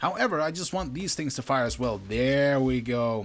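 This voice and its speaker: Speaking at a fairly quick pace with a non-native accent, the man has a medium pitch and ordinary pitch variation. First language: not English. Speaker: gaming youtuber. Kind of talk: gameplay commentary. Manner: animated.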